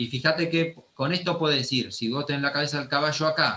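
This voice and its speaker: A man with an Argentine accent talks very fast at a fairly high pitch, his intonation lively. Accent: Argentine Spanish (Rioplatense). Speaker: anatomy teacher. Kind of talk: lecture.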